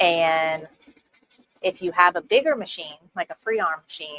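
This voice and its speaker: In a New Orleans accent, a woman with a fairly low pitch talks at a fairly slow pace, the sound dry and close with no echo. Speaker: embroidery tutorial creator. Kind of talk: live-stream tutorial. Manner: casual, filler-heavy.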